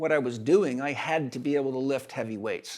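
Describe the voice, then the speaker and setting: A man with an ordinary speaking voice, fairly high pitch and ordinary pitch variation, on a very clean recording with a silent background. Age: 60s. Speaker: holistic health expert and educator. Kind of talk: interview conversation.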